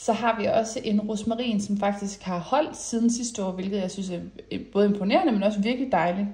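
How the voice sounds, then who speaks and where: This voice is somewhat breathy, with a dark, mellow tone. It moves at a very fast pace with ordinary pitch variation. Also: woman. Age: 20s. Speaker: lifestyle vlogger. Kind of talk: casual vlog talk. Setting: voiceover recorded indoors. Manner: hesitant with many fillers.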